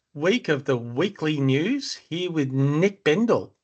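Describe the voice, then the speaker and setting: In an Australian accent, the speech unfolds at a very slow pace with lively intonation. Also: man. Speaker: property investment podcast host. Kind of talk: casual chat. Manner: halting, many fillers.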